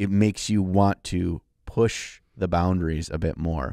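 A man speaks with a very deep, low pitch and a dark, mellow tone. The sound is dry with no echo, and the background is quiet. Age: 40s. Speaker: miniature painting podcast co-host and YouTuber; miniature painting podcast co-host, YouTuber. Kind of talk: casual chat. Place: studio. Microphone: studio mic.

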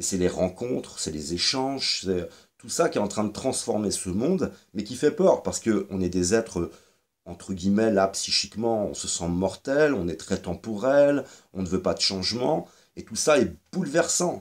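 The speech comes at a fairly slow pace with lively intonation. The background is quiet. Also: man, fairly low pitch for a man. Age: 40s. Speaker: YouTuber commentator. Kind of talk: monologue video commentary. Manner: halting, many fillers and repetitions. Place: home room. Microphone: webcam.

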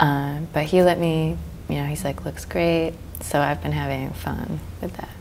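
A woman talks at a moderate pace. Light background noise can be heard. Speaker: fine artist and muralist. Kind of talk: interview. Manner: hesitant, many filler words. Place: studio. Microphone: lapel.

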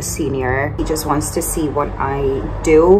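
Noticeable noise in the background beneath speech of ordinary pitch variation. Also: woman. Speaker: vlogger. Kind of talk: casual vlog chat. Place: home room. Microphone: phone near.

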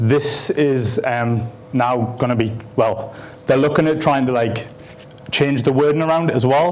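A man is speaking at a moderate pace. His pitch variation is ordinary. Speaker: speaker. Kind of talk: conference talk. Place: hall.

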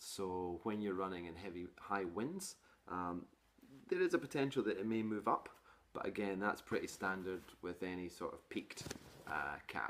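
A man speaks at a moderate pace with a low pitch. His tone is fairly bright and his intonation lively.

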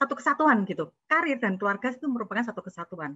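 Lively intonation marks this woman's fairly quick speech. Her tone is bright and sharp. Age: 40s. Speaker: entrepreneur. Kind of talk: webinar talk.

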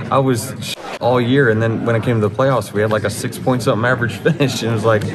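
A man is talking. Behind him, music plays. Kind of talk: interview answer. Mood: relaxed, some laughter. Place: hall. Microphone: handheld.

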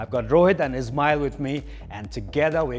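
Faint background music behind a man at a moderate pace. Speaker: fitness coach. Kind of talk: workout instruction. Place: gym. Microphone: lapel.

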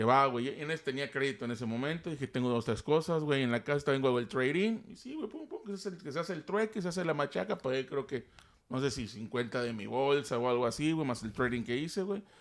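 With lively intonation, a man rattles along at a very fast pace with hardly any pauses. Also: fairly high pitch for a man. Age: 40s. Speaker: Star Wars toy collector and YouTuber; YouTuber. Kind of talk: casual chat. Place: studio. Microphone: studio mic.

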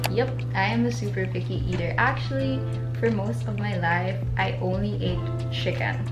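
A woman talks at a moderate pace, and loud background noise surrounds her. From Manila, Philippines. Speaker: vlogger. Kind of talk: casual talk to camera. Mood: cheerful, relaxed. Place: home room.

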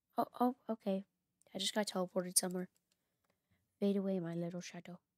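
Talking at a very fast pace with fairly even intonation, a woman comes through in a dry, close sound with no echo. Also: medium pitch for a woman. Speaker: gaming YouTuber. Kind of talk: gameplay commentary. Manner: reads game dialogue aloud.

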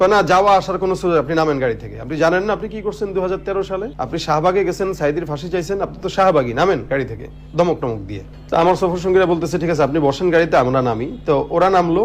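The pitch varies in an ordinary way, with noticeable background noise throughout. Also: man, high pitch for a man. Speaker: Islamic preacher and gazal singer. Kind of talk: testimony.

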